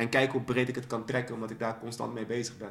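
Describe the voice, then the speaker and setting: The man's pitch is medium. His intonation remains monotone and flat. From Netherlands, raised in Dordrecht, born in Suriname. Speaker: spoken word poet. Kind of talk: casual interview. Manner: halting, repeats words.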